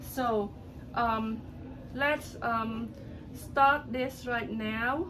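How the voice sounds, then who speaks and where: The speech is very slow, with long, frequent pauses and fairly even intonation. Audible room echo surrounds it. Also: woman, fairly high pitch for a woman. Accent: Cambodian. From Cambodia. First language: Khmer. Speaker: political commentator on social media. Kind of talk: casual political commentary video. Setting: at home. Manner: hesitant, many fillers.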